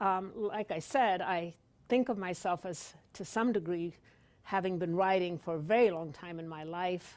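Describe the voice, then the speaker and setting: A woman's medium-pitched voice with an American accent, at a fairly slow pace with ordinary pitch variation and big swings in loudness, on a very clean recording with a silent background. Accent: Polish-tinged accent, noticed in Wisconsin. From Poland. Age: 60s. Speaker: author, retired law professor. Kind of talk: author talk. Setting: library event with audience. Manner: hesitant, many fillers.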